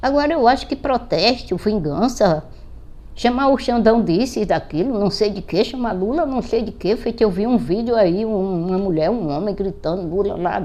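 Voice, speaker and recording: This woman's voice has a fairly high pitch and a dark, mellow tone. She talks at a moderate pace with lively intonation. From Brazil, Pernambuco (Greater Recife). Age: 70s. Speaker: political commentator vlogger. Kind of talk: political monologue vlog. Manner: animated.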